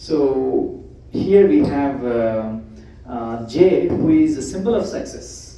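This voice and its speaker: A man's medium-pitched voice carries some audible echo from the room. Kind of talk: presentation to church audience.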